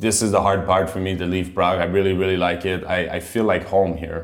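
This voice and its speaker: With a Quebec French accent and a very deep, low pitch, a man talks with hardly any pauses as room echo sounds around him. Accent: Canadian (Quebec French). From Quebec, Montreal. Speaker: professional ice hockey player. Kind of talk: casual interview in English.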